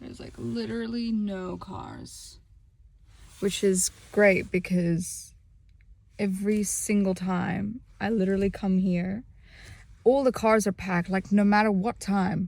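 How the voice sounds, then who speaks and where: Recorded very cleanly against a silent background, a somewhat breathy woman at medium pitch speaks at a fairly slow pace with ordinary pitch variation, big swings in loudness and long, frequent pauses. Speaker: fitness vlogger. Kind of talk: casual vlog. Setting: at home, then gym car park. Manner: soft-spoken.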